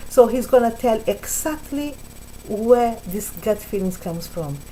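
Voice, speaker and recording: The speech moves at a fairly slow pace. Music plays in the background. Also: woman. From Brazil. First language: Portuguese. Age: 60s. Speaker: spiritual vlogger. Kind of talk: casual talk to camera. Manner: halting, with repetitions.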